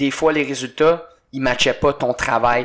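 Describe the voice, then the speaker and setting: This man speaks at a medium pitch. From Quebec. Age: 20s. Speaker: CrossFit coach and former hockey player. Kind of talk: casual chat.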